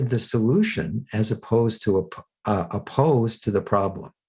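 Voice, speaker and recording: Speech comes at a moderate pace with a somewhat breathy quality. The background is quiet. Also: man. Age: 60s. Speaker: self-help teacher and author. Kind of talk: podcast interview. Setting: podcast.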